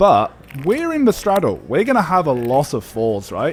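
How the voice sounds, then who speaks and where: A man with an English accent at a moderate pace, lively intonation, and noticeable background noise. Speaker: poker vlogger. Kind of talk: voiceover commentary. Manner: casual.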